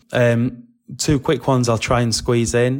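Speaking with a British accent, a man talks at a moderate pace and medium pitch. The recording is very clean, with a silent background. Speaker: podcaster and fan. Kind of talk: casual chat.

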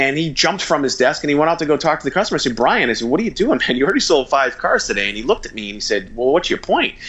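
With noticeable background noise, a man talks at a very fast pace with hardly any pauses, his fairly high voice carrying lively intonation. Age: 40s. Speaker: author and marketing company CEO. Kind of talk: interview.

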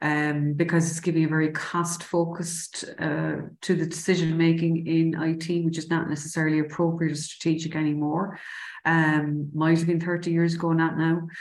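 A woman with a Cork accent speaks at a moderate pace in a fairly low pitch. Her intonation stays flat and monotone, and the room echo is audible. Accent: Irish (Cork). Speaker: city council IT director. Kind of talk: interview.

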